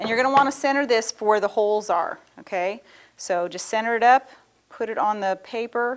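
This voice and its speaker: Fairly quick, fairly high-pitched speech from a woman, with ordinary pitch variation. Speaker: craft show host. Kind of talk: tutorial. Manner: fast; casual, chatty.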